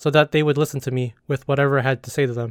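Recorded very cleanly with a silent background and a dry, close sound with no echo, a man with an American accent talks at a very fast pace in a fairly high pitch. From California, US. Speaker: podcast host. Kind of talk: scripted-style personal storytelling monologue.

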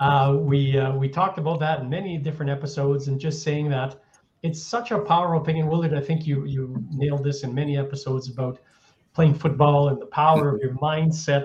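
Very fast and somewhat breathy, a man speaks with a fairly high pitch and fairly even intonation. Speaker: health podcast co-host. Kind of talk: casual chat.

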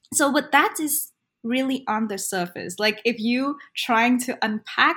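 A woman with a Vietnamese accent speaks at a fairly slow pace with lively intonation. The recording is very clean and the background silent. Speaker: ESL teacher. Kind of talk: interview.

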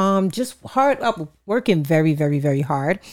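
On a very clean recording with a silent background, a woman with a New York accent sounds animated, talking at a fairly quick pace with very wide pitch swings. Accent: New York, put on thick at times. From New York City, Queens. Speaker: podcast co-host. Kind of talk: casual chat.

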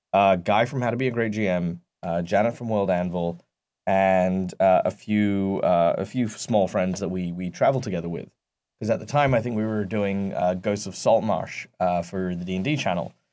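Speaking with an Australian accent, a man talks at a moderate pace in a fairly low voice with ordinary pitch variation, on a very clean recording with a silent background. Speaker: tabletop game master and youth wellness worker. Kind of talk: podcast interview. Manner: halting, many fillers and repeats.

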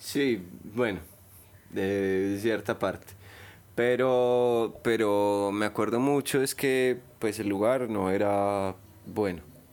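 A man in a Paisa Colombian accent at a very slow pace, with long, frequent pauses and very even loudness. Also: fairly low pitch for a man, fairly even intonation. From Colombia, Medellín. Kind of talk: casual chat.

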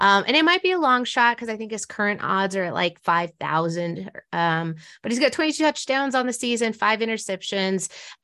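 A woman's fairly high voice in an American accent, fairly quick, with very wide pitch swings, over a quiet background. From Denver, US. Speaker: sports radio host and podcaster. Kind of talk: casual interview chat. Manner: fast talker.

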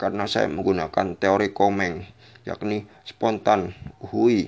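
A man speaks with vocal fry at a fairly low pitch. His pace is very slow. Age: 20s. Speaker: podcaster. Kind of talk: solo monologue commentary. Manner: halting with many repetitions.

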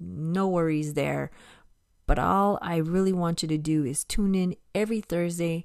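A woman with an American accent, fairly low in pitch, at a fairly slow pace with fairly even intonation, on a very clean recording with a silent background. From US (moved from Brazil at age six). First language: Portuguese. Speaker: ESL teacher and podcast host. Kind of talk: solo educational podcast monologue. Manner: deliberately paced for learners.

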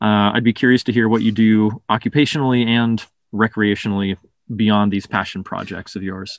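Using an ordinary speaking voice, a man speaks at a moderate pace with fairly low pitch and fairly even intonation. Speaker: podcast host. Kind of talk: interview.

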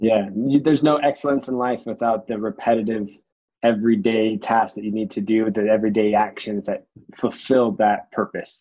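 At a moderate pace, an unremarkable speaking voice delivers its lines with fairly even intonation. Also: man, medium pitch for a man. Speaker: podcast host. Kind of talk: interview conversation.

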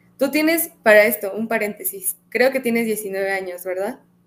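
Her pitch is fairly high for a woman. She speaks at a fairly slow pace with ordinary pitch variation. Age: 20s. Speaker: podcast host. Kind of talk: casual interview.

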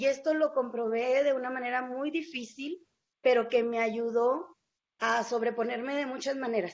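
The woman has a high pitch. She talks at a fairly slow pace. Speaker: journalist. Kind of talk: interview.

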